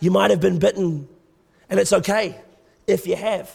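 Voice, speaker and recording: A man with an Australian accent, at a fairly slow pace. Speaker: guest preacher. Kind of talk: sermon. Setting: church. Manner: animated.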